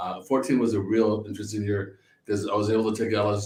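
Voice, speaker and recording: The speaker talks at a very fast pace in a somewhat breathy voice. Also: man. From Northern California, San Francisco area. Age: 60s. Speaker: winery owner. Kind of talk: casual chat. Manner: halting, many repeated words.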